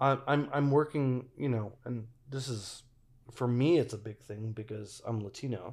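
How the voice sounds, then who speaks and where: A man with an unremarkable speaking voice talks at medium pitch and a moderate pace with ordinary pitch variation, on a very clean recording with a silent background. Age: 40s. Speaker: filmmaker and military veteran. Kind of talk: casual chat.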